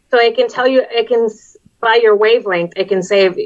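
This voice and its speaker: A woman with an American accent, a plain, everyday voice, ordinary pitch variation and a moderate pace. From Texas, US-Mexico border. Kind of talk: casual chat. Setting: video call.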